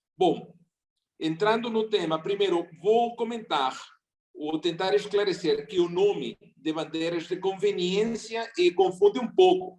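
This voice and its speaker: A man with a non-native accent speaks fairly slowly in a high voice, using ordinary pitch variation. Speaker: seminar speaker on maritime labor. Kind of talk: seminar talk.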